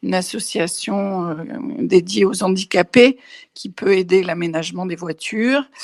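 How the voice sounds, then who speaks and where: On a very clean recording with a silent background and a dry, close sound with no echo, a woman speaks very slowly at medium pitch with ordinary pitch variation. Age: 60s. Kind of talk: personal testimony. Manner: hesitant, many fillers and repetitions.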